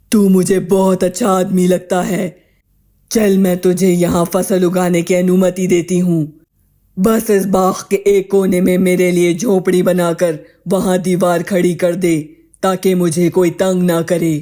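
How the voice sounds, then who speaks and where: A man puts on a character voice, high in pitch. He speaks at a fairly slow pace with monotone, flat intonation. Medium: audio drama. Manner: rough, commanding, uses coarse 'tu'.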